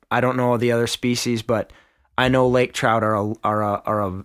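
In a very clean recording with a silent background, a man of medium pitch speaks at a moderate pace in a flat monotone. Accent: Upper Midwest. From Minnesota. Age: 30s. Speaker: podcast host. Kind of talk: casual chat.

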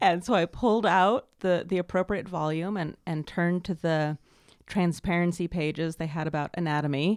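A woman with an American accent speaks in an ordinary speaking voice, at a fairly low pitch and a moderate pace with fairly even intonation. The sound is dry and close with no echo, on a very clean recording with a silent background. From US West Coast, Los Angeles. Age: 30s. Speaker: sex and intimacy coach, author. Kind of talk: casual interview.

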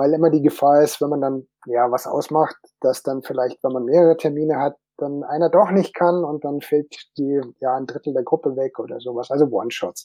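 A man speaks at a moderate pace in a plain, everyday voice, his fairly high pitch held in fairly even intonation. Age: 50s. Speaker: tabletop game designer. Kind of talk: panel discussion.

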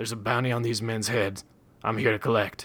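A man's put-on character voice, growling and raspy, at medium pitch, fairly quick and monotone. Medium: read story. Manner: calm, low growl.

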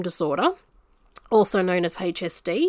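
Recorded very cleanly against a silent background, a woman with an Australian accent talks at a moderate pace with ordinary pitch variation. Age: 40s. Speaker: podcast host. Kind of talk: casual monologue. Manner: halting.

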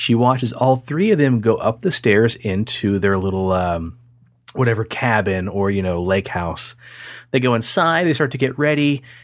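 A man at a medium pitch, moderate pace and lively intonation. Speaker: paranormal podcast host. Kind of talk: casual chat. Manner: slight tongue-tie, stumbles on sibilants.

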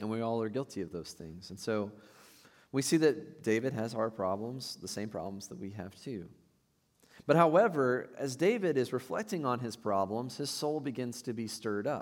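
A plain, everyday voice at a moderate pace, with lively intonation and big swings in loudness, on a very clean recording with a silent background. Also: man, medium pitch for a man. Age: 30s. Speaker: pastor. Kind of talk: sermon. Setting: church.

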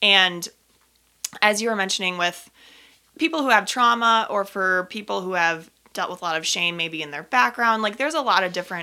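In a very clean recording with a silent background, a woman with an American accent talks at a fairly quick pace in a medium pitch, her intonation lively and her tone bright and sharp. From Minnesota, US Midwest. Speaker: personal trainer. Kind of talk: casual interview chat.

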